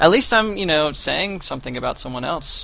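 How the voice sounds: A man's fairly high voice with a bright, sharp tone, vocal fry, lively intonation and a moderate pace.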